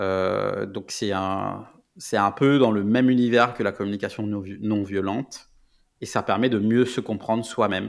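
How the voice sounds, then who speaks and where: On a very clean recording with a silent background, a fairly low-pitched man speaks at a fairly slow pace with fairly even intonation. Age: 30s. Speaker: product manager. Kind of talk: interview. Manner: halting.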